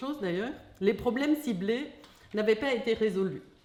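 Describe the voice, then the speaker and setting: Speaking at a moderate pace, a woman has a German accent. Her intonation is lively. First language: German (speaking French). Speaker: philosopher of science. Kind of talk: lecture read from text. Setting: hall with audience. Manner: reading aloud.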